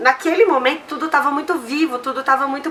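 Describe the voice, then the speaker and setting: A woman with a high pitch speaks in a raised, projected voice at a fairly quick pace over noticeable background noise. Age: 30s. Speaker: community organization co-founder. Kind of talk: interview.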